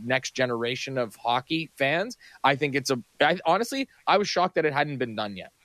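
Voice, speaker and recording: At a moderate pace, a man speaks in a normal speaking voice with medium pitch and ordinary pitch variation, the sound dry and close with no echo. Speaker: radio producer. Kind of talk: casual radio chat.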